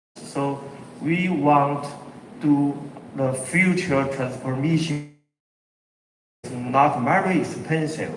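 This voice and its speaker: In a Chinese accent, a man speaks at a very slow pace and fairly high pitch with fairly even intonation, long, frequent pauses and audible room echo. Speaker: company executive. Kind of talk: keynote presentation. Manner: halting.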